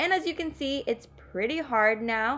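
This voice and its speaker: With music in the background, a woman speaks at a fairly slow pace and with lively intonation. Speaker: beauty vlogger. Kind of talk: makeup tutorial voiceover. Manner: casual, rambling.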